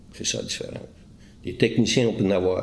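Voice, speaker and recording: The delivery moves at a fairly quick pace. Its intonation holds fairly even. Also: man. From Quebec, Eastern Townships. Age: 60s. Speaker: retired police interrogator. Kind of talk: interview. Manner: halting.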